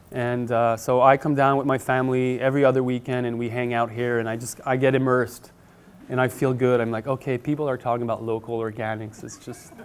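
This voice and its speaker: A man at medium pitch with a Quebec accent, at a very fast pace. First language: French. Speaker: market gardener and author. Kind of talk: conference presentation. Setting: conference room with audience. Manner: animated.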